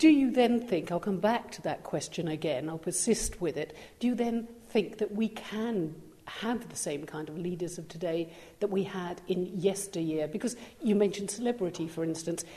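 A woman with a somewhat breathy, dark and mellow voice talks at a moderate pace and medium pitch, with ordinary pitch variation and big swings in loudness. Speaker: podcast interviewer. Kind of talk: interview.

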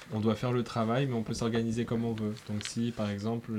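Monotone and flat, a man speaks in a fairly low, dark, mellow voice. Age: 20s. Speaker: radio fundraising officer. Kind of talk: interview answering children's questions. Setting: radio studio. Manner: hesitant, many fillers.

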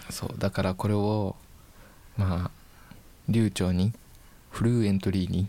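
Pausing long and often, a man with a fairly low pitch speaks at a fairly slow pace with fairly even intonation. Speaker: university broadcasting student. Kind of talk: casual chat.

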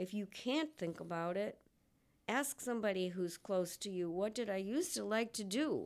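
At a moderate pace, a woman uses a normal speaking voice with medium pitch and lively intonation. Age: 60s. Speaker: mental health advocate sharing lived experience. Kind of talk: interview testimony.

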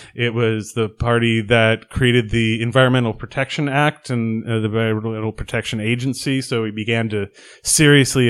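Over a very clean recording with a silent background, a man speaks at a moderate pace with fairly even intonation and a medium pitch, an unremarkable speaking voice. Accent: American. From Oregon. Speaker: local politician. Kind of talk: podcast interview.

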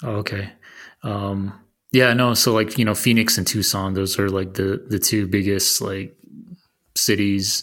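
In a very clean recording with a silent background, a man with an American accent and a fairly low pitch speaks at a fairly slow pace in a monotone, flat intonation. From Arizona. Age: 30s. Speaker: podcast host. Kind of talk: casual interview chat. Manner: halting.

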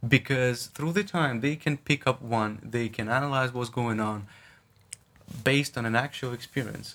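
A man with a Russian accent talks at a moderate pace with ordinary pitch variation. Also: medium pitch for a man. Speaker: podcast guest, friend and classmate of host. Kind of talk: casual chat.

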